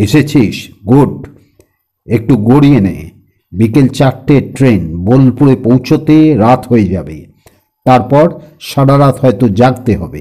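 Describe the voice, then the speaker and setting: In a booming, put-on character voice, the speaker delivers lines at a fairly slow pace with lively intonation. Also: man, medium pitch for a man. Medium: read story. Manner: brisk, commanding, teasing.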